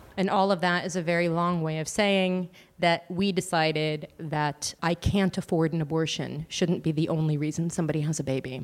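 A normal speaking voice with an American accent moves at a moderate pace with fairly even intonation and hardly any pauses. The recording is very clean, with a silent background. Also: woman, fairly low pitch for a woman. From United States. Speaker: abortion charity founder. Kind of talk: interview answers, explanatory.

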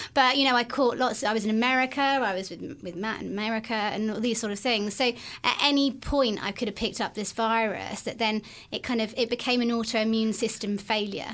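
Heard in a very clean recording with a silent background, a woman with an ordinary speaking voice talks at a fairly quick pace and fairly high pitch, with fairly even intonation. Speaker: podcast host, brain injury survivor. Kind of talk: casual interview.

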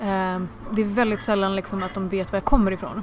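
Over noticeable background noise, a woman at a medium pitch talks at a fairly quick pace in a monotone, flat intonation. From Sweden (adopted from India as infant). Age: 20s. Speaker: comedian. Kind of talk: interview. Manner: fast.

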